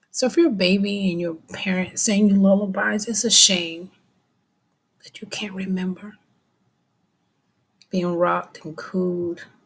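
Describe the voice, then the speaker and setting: Soft-spoken and somewhat breathy, a woman speaks at a medium pitch with fairly even intonation. She takes long, frequent pauses, and her loudness swings widely. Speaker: vlogger. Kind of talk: personal monologue. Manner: halting.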